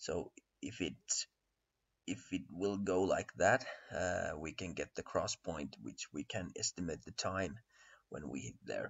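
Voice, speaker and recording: A man in a Finnish accent speaks with long, frequent pauses. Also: fairly slow pace. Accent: Finnish accent, self-described poor English. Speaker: crypto trading analyst. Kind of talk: tutorial. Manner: halting, many fillers and repetitions.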